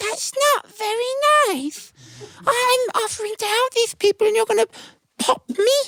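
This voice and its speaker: This put-on character voice is squeaky, with an extremely high pitch and a moderate pace. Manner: indignant, hurt.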